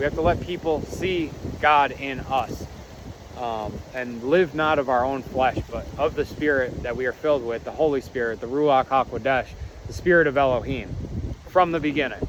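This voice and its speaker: There is noticeable background noise. A man with a fairly high pitch talks at a moderate pace with ordinary pitch variation. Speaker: Bible teacher. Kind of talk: Bible reading with commentary.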